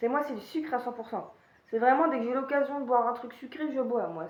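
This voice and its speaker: A woman speaks with a high pitch. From Paris region, France. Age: 20s. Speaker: YouTuber. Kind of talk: casual Q&A monologue. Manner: hesitant, many fillers.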